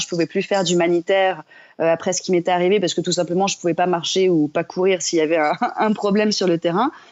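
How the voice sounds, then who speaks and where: This woman speaks very fast, her medium-pitched voice keeping a fairly even intonation. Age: 30s. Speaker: entrepreneur and yoga teacher. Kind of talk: podcast interview. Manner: many hesitations (euh).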